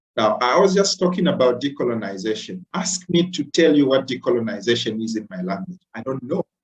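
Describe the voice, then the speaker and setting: Pitch swinging very widely around a medium level, a man speaks at a fairly quick pace with hardly any pauses. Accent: Zambian. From Zambia. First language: Bemba. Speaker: lecturer. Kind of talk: lecture. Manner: halting, many fillers.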